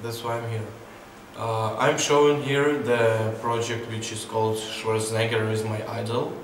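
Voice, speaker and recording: A man speaks at a fairly slow pace with fairly even intonation. Audible room echo and light background noise are present. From southern Ukraine, Mykolaiv. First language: Ukrainian or Russian. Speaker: photographer. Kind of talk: interview monologue. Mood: calm, reflective. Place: hall.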